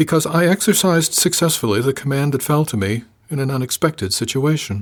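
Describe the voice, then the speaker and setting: Soft-spoken and resonant, a put-on character voice races along at a very fast pace with lively intonation. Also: man, fairly high pitch for a man. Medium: audio drama. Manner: formal, guarded, unemotional.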